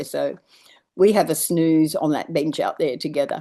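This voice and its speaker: A woman with an Australian accent, fairly low in pitch, at a fairly slow pace against a quiet background. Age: 70s. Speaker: permaculture teacher. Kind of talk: online Q&A.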